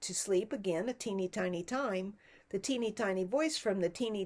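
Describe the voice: The pitch shifts in an ordinary way. The delivery is plain reading aloud.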